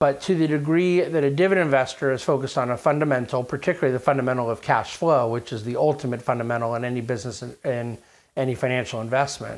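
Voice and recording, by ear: Talking at a fast pace, the man keeps a medium pitch and fairly even intonation.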